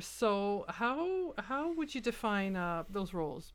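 On a very clean recording with a silent background, a woman speaks in a French Canadian accent. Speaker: podcast host. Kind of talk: interview. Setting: studio.

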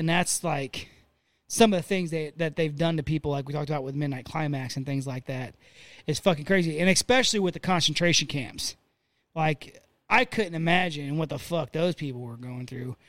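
In a very clean recording with a silent background, a man with a plain, everyday voice speaks fairly quickly at a fairly high pitch, using ordinary pitch variation. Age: 30s. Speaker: podcast co-host. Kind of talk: casual chat.

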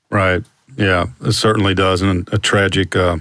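A man's fairly low voice moves at a moderate pace in a normal speaking voice. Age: 50s. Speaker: podcast host, former sports writer. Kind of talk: casual interview.

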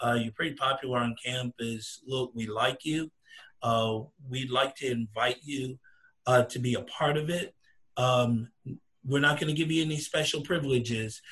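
A plain, everyday voice, fairly even in intonation, moderate in speed. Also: man, medium pitch for a man. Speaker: fraternity alumnus. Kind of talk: panel discussion.

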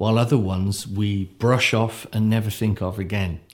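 A voice with a West Country accent comes through on a very clean recording with a silent background. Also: man. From Devon, south-west England. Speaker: mythologist and storyteller. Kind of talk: storytelling and interview conversation. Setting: sit-down interview.

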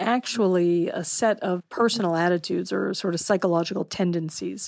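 A woman with a plain, everyday voice speaks at a fairly low pitch. She shows ordinary pitch variation. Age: 50s. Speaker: political science professor. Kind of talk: interview.

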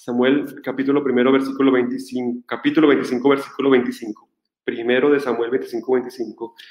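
A man speaks at a fairly slow pace and medium pitch. His intonation is monotone and flat, his loudness very even. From Colombia. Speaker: Franciscan friar, Bible scholar. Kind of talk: lecture.

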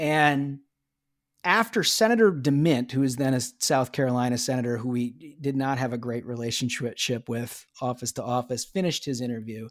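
In an American accent, a man speaks with an ordinary speaking voice at a medium pitch. His pace is moderate and his intonation fairly even. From US Midwest, Minnesota. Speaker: political strategist, former Senate chief of staff. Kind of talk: interview.

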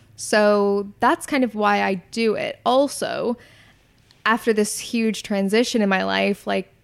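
Heard against a silent background in a very clean recording, this woman's voice falls at a medium pitch. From Canada. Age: 20s. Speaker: content creator and YouTuber. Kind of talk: casual interview.

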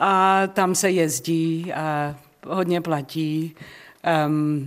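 Her pitch is very deep and low, with ordinary variation. The recording is very clean, and the background silent. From South Africa (Czech-born). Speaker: jazz singer. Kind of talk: radio interview. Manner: halting.

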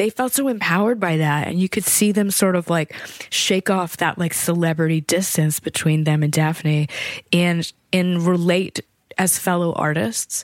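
With an American accent and a plain, everyday voice, a woman speaks at a fairly low pitch with ordinary pitch variation, captured dry and close with no echo. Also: moderate pace, very even loudness. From small-town Virginia, US. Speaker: composer. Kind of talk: interview conversation.

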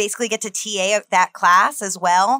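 This woman speaks with an American accent and ordinary pitch variation. Noticeable background noise runs under her voice. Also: dry, close sound with no echo. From New Jersey. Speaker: comedy club education director and improv comedian. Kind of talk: casual interview chat.

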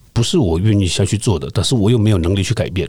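Somewhat breathy, the voice has a dark, mellow tone and ordinary pitch variation. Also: man. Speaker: retired police detective. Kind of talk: interview conversation.

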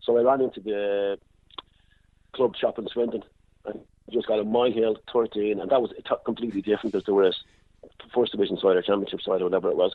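With a Dublin accent, a man talks at a very fast pace between long, frequent pauses, using a fairly low pitch and fairly even intonation. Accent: Dublin Irish. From Dublin, Ireland. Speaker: football kit man. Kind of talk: casual interview.

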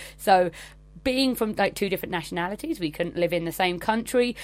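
Recorded very cleanly over a silent background, a woman with an English accent speaks with lively intonation. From England. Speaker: travel blogger. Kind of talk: recorded monologue.

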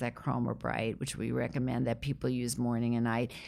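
A woman's voice with vocal fry, on a very clean recording with a silent background. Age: 60s. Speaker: dermatologist. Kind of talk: interview.

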